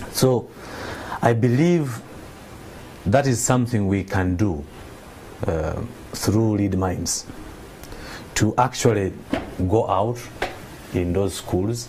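A man talks at a very slow pace, with a fairly low pitch and ordinary pitch variation. He leaves long, frequent pauses, and noticeable background noise is present. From Uganda. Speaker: nonprofit founder. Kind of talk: TV interview. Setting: TV studio. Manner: hesitant, many fillers. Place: studio.

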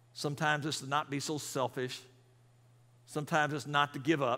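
A man's fairly high voice, bright and sharp in tone, with little pitch movement at a moderate pace.

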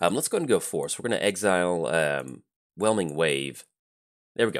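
A man's very deep, low voice with vocal fry. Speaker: gaming YouTuber. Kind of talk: gameplay commentary.

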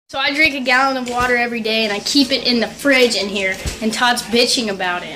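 A raised, projected voice moves at a moderate pace. Faint music plays in the background. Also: woman. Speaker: vlogger. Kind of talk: casual vlog chat. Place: kitchen. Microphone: phone near.

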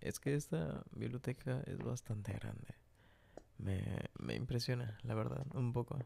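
Speaking at a fairly slow pace, a man at medium pitch shows vocal fry and ordinary pitch variation. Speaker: ASMR roleplay creator playing a librarian. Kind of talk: ASMR roleplay, whispered scripted-improvised romantic scene. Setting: library roleplay, close-mic studio recording. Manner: whispering, soft, intimate and close to the mic; hushed, flirty, with shy giggles.

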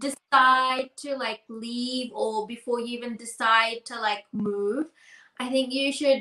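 A woman's high-pitched voice with a New Zealand accent, bright and sharp in tone, at a very slow pace with fairly even intonation, audible room echo and a quiet background. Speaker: podcast co-host. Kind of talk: casual chat. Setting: video call. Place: home room.

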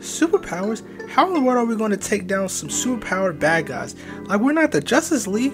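Clear music plays in the background behind a put-on character voice at a fairly high pitch. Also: fairly quick pace. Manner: earnest, casual, easily startled.

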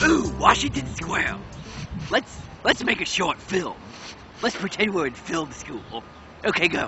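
A man's cartoonish character voice at a moderate pace, with clear music in the background. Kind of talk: improvised comedy with a puppet on a road trip. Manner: silly, naive.

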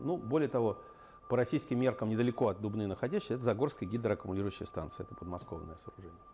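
A man speaks at a very fast pace with lively intonation and big swings in loudness. Light background noise sits behind him. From Russia. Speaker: engineering scientist and company head; invited lecturer. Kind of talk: lecture. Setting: university seminar with slides. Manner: halting, many filler sounds. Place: meeting room.

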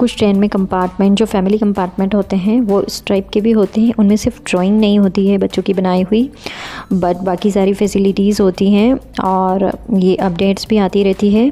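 A woman's monotone, flat delivery at a fairly slow pace, very even in loudness, with faint music in the background. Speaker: family travel vlogger. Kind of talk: casual vlog chat. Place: train.

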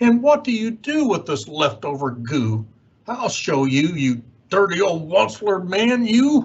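A man uses a put-on character voice, pitched high for a man. He talks at a fairly slow pace with very wide pitch swings. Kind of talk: children's read-aloud character voice. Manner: bossy, scolding.

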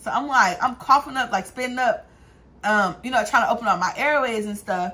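Lively intonation marks this woman's very fast speech. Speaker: vlogger. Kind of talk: casual vlog chat, storytelling. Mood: amused, laughing storyteller. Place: home room. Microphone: phone near.

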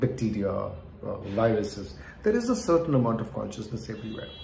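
This is a man's voice. Audible room echo and light background noise are present. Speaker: wellness teacher. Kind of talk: lecture. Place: home room. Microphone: earbuds.

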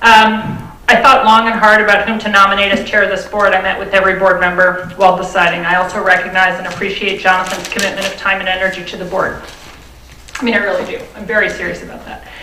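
There is noticeable background noise. A woman talks at a very fast pace in a monotone, flat intonation. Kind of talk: prepared statement at public meeting. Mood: serious, firm. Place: meeting room. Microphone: podium.

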